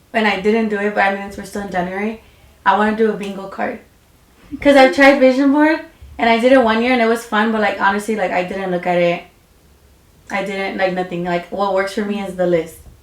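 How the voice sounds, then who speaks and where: Words come out very fast. The pitch varies in an ordinary way, over noticeable background noise. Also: woman, medium pitch for a woman. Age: 20s. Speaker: beauty business owner. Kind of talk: casual chat.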